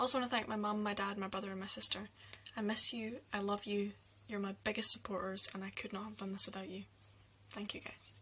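Fast-paced woman at a medium pitch, fairly bright in tone, with little pitch movement

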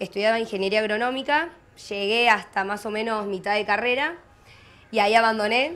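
A woman speaks in a fairly high pitch. Her pace is fairly quick. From Argentina, Córdoba province (Monte Maíz); Córdoba, Argentina. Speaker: agricultural social media influencer; interviewee. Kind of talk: interview. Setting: mobile studio at a rural exhibition. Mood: relaxed, friendly. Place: market. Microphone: handheld.

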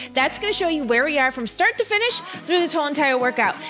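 Clear music plays behind a raised, projected voice that moves at a very fast pace. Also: woman. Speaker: running coach. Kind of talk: workout class instruction. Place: home room. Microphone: headset.

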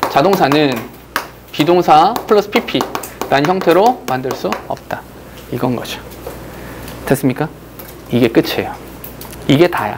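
A man with a fairly high pitch talks at a fairly slow pace, using lively intonation and long, frequent pauses over noticeable background noise. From South Korea. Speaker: English grammar teacher. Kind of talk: lecture. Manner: animated. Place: classroom.

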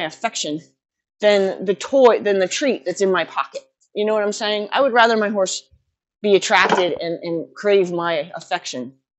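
The woman's voice sits at a medium pitch with lively intonation. Background noise is noticeable. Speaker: horse trainer. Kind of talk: casual talk to camera. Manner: fast. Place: farm machine.

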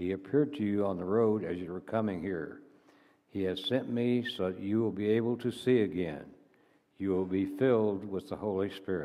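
A man talks in a normal speaking voice. His pace is moderate. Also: fairly low pitch for a man, ordinary pitch variation. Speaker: church elder reading scripture. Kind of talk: reading aloud. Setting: church. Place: church.

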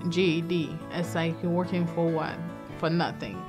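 A woman speaks at a moderate pace in a fairly low pitch, with clear music in the background. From Haiti. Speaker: certified nurse aide. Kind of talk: interview answer. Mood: earnest, emotional, proud. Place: studio.

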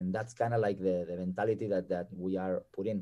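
A man speaks here. His tone is dark and mellow. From Spain. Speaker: podcast guest, tennis coach. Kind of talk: casual chat. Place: home room. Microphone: video call.

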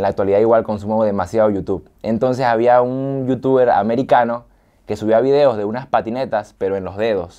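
A man talks at a fairly quick pace with a dark, mellow tone. His intonation is fairly even, and the background is quiet. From Venezuela, San Fernando de Apure; Venezuela. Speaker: gamer youtuber; interviewee, gamer youtuber. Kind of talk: interview. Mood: relaxed, smiling storytelling. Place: studio. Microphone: lapel.

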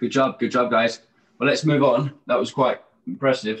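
Against a quiet background, a man talks at a fairly quick pace. His intonation is fairly even. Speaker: fitness coach. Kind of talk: instruction. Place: home room.

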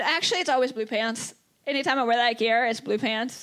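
Against a quiet background, a woman speaks in a raised, projected voice. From Kentucky. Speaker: pro wrestler. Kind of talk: live podcast chat. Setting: stage with audience. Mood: relaxed storytelling. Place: stage. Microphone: handheld.

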